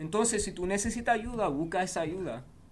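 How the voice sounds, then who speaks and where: A man with a high pitch talks at a moderate pace, using ordinary pitch variation. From New Jersey, US, Cuban family. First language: English (speaking Spanish). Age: 30s. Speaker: war veteran and football coach. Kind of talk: casual interview chat.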